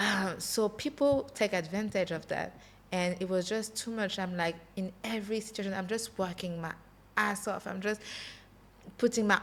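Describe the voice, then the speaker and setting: A woman talks with a French accent. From France (Paris), Congolese heritage. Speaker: entrepreneur. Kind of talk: podcast interview. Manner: halting, searches for English words.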